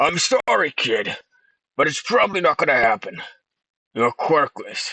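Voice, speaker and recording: A raspy, put-on character voice from a man at a moderate pace, with a dry, close sound and no echo. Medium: read story. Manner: callous, matter-of-fact.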